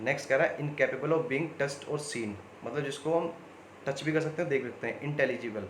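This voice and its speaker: Audible room echo and noticeable background noise surround a man speaking at a fairly quick pace. His pitch is fairly high and his intonation fairly even. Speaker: online exam coaching teacher. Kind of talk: video lesson. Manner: conversational.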